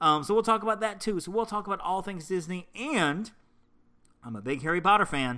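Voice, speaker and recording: With a bright, sharp tone, the man's high-pitched voice is raised and projected. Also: very clean recording, silent background. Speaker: podcast host. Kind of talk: casual solo podcast monologue. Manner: informal, rambling, with ums and self-corrections; friendly, enthusiastic.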